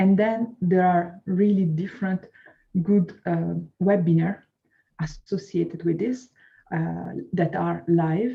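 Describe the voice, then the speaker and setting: This speaker talks at a very slow pace with a non-native accent, leaving long, frequent pauses. The intonation stays fairly even, and the voice is somewhat breathy. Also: woman, fairly low pitch for a woman. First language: not English. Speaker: course student. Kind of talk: interview. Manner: halting.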